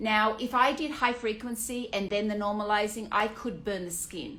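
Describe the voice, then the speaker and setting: A woman with an Australian accent speaks at a moderate pace in a fairly high pitch, with audible room echo. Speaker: aesthetician. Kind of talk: Q&A monologue. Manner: casual, with many fillers.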